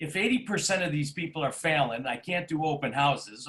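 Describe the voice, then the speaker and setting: With a bright, sharp tone, a man speaks at a fairly high pitch. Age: 60s. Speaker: real estate agent. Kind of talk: interview.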